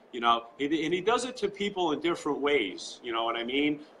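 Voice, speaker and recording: A man speaks with a New York accent. His pitch swings very widely. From Long Island, New York. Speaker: political supporter. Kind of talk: live interview. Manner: animated.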